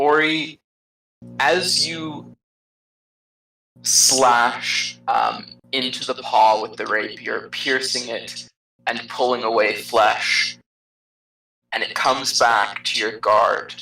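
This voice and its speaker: The voice sits at a low-to-middle pitch and moves at a very slow pace. Long pauses come often. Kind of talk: fantasy combat narration. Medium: actual play. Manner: hesitant, filler-laden, descriptive.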